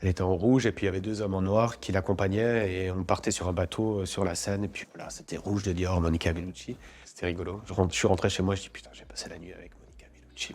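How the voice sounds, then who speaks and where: Very fast and fairly low, a man speaks with fairly even intonation. The recording is very clean, with a silent background. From France. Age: 40s. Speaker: actor. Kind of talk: interview. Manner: casual, hesitant with fillers and repetitions.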